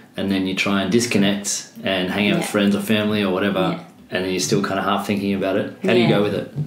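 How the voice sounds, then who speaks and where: A man talks at a very fast pace with hardly any pauses, his fairly low voice set against noticeable background noise. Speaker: podcast host. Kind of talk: podcast interview, casual conversation. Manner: upbeat, casual.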